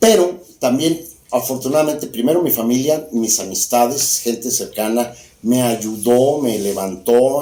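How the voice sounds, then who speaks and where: Speaking at a fairly slow pace with ordinary pitch variation, a man is heard with audible room echo. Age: 60s. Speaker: former politician. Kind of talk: interview conversation.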